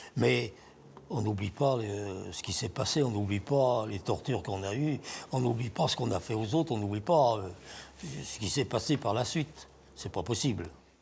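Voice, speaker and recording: Speaking at a moderate pace, a man uses a fairly low, somewhat breathy voice with lively intonation. He leaves long, frequent pauses. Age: 80s+. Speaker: former resistance fighter, torture survivor. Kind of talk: interview testimony.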